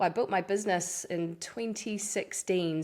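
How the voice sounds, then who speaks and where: A woman speaks in a New Zealand accent with a fairly low pitch. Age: 40s. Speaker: fitness coach. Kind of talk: interview.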